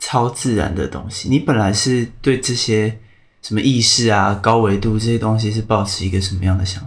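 A somewhat breathy man's voice, fairly low in pitch, with ordinary pitch variation. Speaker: podcast host. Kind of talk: casual interview chat. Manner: slow.

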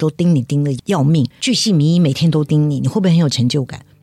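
A woman's very deep, low voice, somewhat breathy, with a dark, mellow tone. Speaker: charity chairwoman, former tech executive. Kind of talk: interview.

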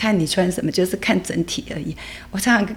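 Someone speaks at a fairly quick pace with ordinary pitch variation over noticeable background noise. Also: woman. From Taiwan, Yilan fishing village. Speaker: dance teacher. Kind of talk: interview conversation.

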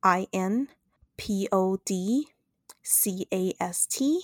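A woman's medium-pitched voice with ordinary pitch variation at a very slow pace, in a very clean recording with a silent background and a dry, close sound with no echo. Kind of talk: casual chat; scripted outro.

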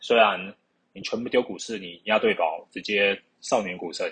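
The speaker has a Taiwanese accent. The pace is fairly slow. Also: man. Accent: Taiwanese Mandarin. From Taiwan, Keelung. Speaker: podcast host. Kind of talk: casual solo monologue. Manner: halting.

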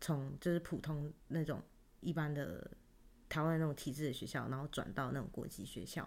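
Very deep, low female voice with ordinary pitch variation at a moderate pace. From Taiwan. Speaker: podcast co-host. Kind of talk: casual chat.

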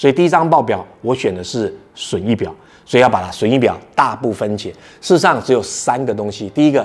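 At a fairly quick pace, a man with a medium pitch speaks in a normal speaking voice with lively intonation. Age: 40s. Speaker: podcast host, startup founder. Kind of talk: solo podcast talk on workplace skills.

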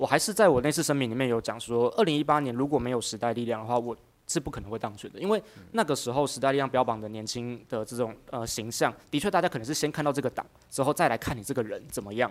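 A man with a Taiwanese accent talks at a very fast pace. His pitch is medium, with ordinary pitch variation. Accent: Taiwanese Mandarin. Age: 30s. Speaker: county councilor. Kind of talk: interview.

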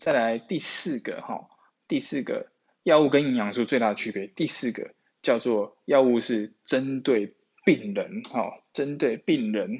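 Using lively intonation at a fairly slow pace, a man with a Taiwanese accent speaks at a medium pitch. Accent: Taiwanese Mandarin. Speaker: nutrition podcast host. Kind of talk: solo podcast talk on nutrition. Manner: heavy filler particles; repetitive, hesitant.

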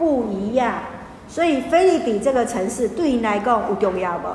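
A woman speaks at a moderate pace in an animated tone, her fairly high pitch carrying lively intonation over noticeable background noise and audible room echo. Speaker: pastor. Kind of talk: Bible study teaching. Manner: animated, mixing Hokkien and Mandarin.

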